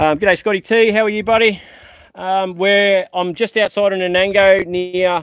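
Dry with no echo, a man's high-pitched voice moves at a moderate pace. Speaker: car seller showing vehicles. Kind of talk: casual vlog commentary. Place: open country. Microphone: phone near.

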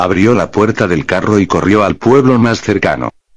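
This man has a plain, everyday voice, pitched fairly low, with ordinary pitch variation and a moderate pace. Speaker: storyteller. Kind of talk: horror story narration.

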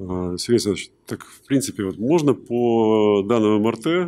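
A man's dark, mellow voice at a moderate pace on a very clean recording with a silent background. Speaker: conference attendee asking questions. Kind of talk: Q&A. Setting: stage with audience.

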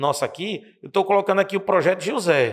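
A man speaks in an animated tone at a high pitch. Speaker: math teacher. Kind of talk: tutorial.

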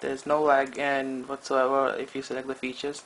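Fairly high pitch from a man, with light background noise. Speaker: tech reviewer. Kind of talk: casual talk to camera. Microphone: phone near.

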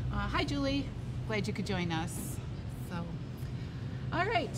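A woman is speaking. Loud background noise surrounds her voice. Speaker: show host. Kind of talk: casual show chat. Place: shop.

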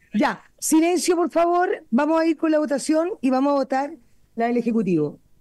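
Against a quiet background, a woman talks in a high pitch with a dark, mellow tone and very even loudness. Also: moderate pace, dry sound with no echo. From Chile. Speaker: committee chair, parliamentarian. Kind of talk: parliamentary committee session. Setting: parliamentary committee room. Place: meeting room. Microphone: podium.

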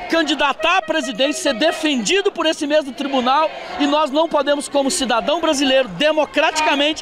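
At a fairly quick pace, a man speaks with an extremely high pitch and ordinary pitch variation, in a dry sound with no echo over noticeable background noise. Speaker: protester. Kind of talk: street protest interview answer. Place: street. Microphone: handheld.

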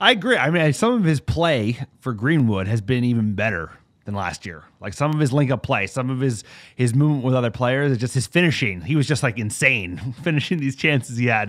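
Over a very clean recording with a silent background, a man with an unremarkable speaking voice and an American accent talks fairly quickly at a medium pitch with lively intonation. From US East Coast (New Jersey/New York). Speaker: football podcast host. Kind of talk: casual chat.

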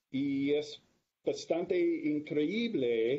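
With an English accent, a man speaks at a fairly high pitch, somewhat breathy, with ordinary pitch variation. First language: English (speaking Spanish). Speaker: planetary atmospheric scientist; guest. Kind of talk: lecture. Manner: halting. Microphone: video call.

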